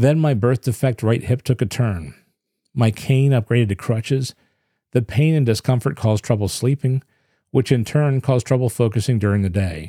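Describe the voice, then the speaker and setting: A man's medium-pitched, dark and mellow voice at a moderate pace, with ordinary pitch variation and very even loudness, dry and close with no echo, on a very clean recording with a silent background. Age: 50s. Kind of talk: devotional teaching monologue.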